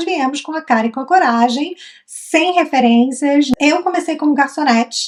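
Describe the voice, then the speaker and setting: A woman speaks in a Brazilian accent with lively intonation. She takes a fairly slow pace. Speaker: travel vlogger. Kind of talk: casual chat.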